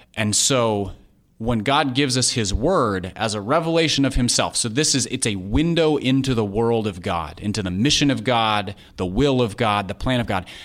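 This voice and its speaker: A man with an American accent has a normal speaking voice, medium in pitch, with lively intonation. He talks at a moderate pace on a very clean recording with a silent background. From US Midwest, Minneapolis, Minnesota. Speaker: author and podcast co-host. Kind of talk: interview.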